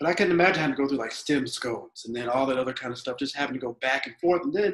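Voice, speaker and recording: Talking very fast, a man with an American accent has a fairly high pitch. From Georgia, US. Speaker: teacher and podcast co-host. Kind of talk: casual chat.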